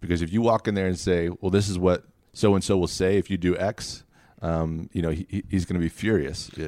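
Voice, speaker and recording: A man speaks at a fairly quick pace in a very deep, low voice with fairly even intonation, on a very clean recording with a silent background. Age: 40s. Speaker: sports organization president. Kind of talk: interview.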